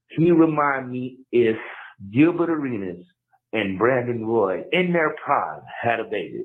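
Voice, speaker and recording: This man has a normal speaking voice at medium pitch, with lively intonation. He speaks at a fairly slow pace. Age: 30s. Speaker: caller. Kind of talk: voicemail. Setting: phone voicemail.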